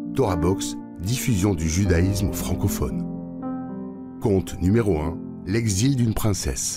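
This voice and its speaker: Clear music plays behind a man with a very deep, low pitch and very wide pitch swings. He talks at a very slow pace with long, frequent pauses. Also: dry sound with no echo. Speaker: voice actor. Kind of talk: audiobook introduction; announcer narration. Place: booth. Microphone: studio mic.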